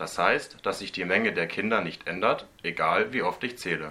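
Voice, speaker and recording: A man's bright, sharp voice at a moderate pace. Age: 20s. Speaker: student teacher podcast host. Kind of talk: scripted educational explainer.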